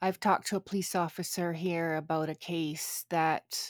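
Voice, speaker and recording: A woman speaks with a Canadian accent. The sound is dry and close, with no echo. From Canada. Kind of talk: casual chat. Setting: remote recording across countries.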